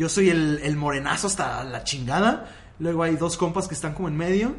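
This man's voice sits fairly high, with ordinary pitch variation and a moderate pace. Audible room echo surrounds the recording. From Mexico City. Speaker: podcast guest. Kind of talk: casual chat.

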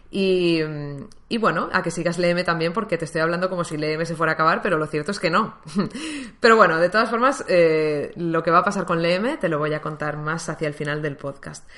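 A woman at a fairly low pitch and fairly quick pace, over noticeable background noise. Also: ordinary pitch variation. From Valencia, Spain. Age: 20s. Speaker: podcaster. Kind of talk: personal monologue.

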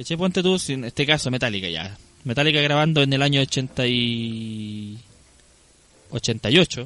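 A man's voice sounds dry and close, with no echo. Music plays in the background. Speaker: podcast co-host. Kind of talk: casual chat.

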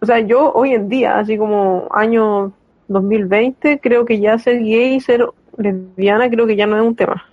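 In a Chilean accent, a woman speaks at a very slow pace with a fairly high pitch. Her intonation is fairly even and her loudness very even. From Chile, San Fernando. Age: 20s. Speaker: actor and drag king performer. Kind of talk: casual interview conversation.

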